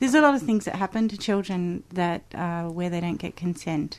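A woman with an Australian accent speaks at a moderate pace and a fairly low pitch. Her pitch varies in an ordinary way against a quiet background. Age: 40s. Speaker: musician. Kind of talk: interview. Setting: studio.

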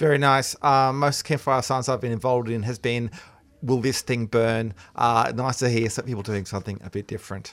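With an Australian accent, a man of medium pitch talks at a fairly quick pace and with fairly even intonation, on a very clean recording with a silent background. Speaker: science radio host. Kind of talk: casual chat. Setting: studio.

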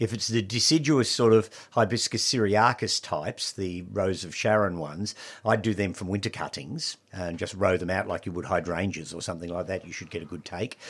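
In a very clean recording with a silent background, a man with an Australian accent speaks at a fairly low pitch, with ordinary pitch variation and big swings in loudness. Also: fairly quick pace. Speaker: horticulturalist and nursery owner. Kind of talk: radio gardening talk show. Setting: studio.

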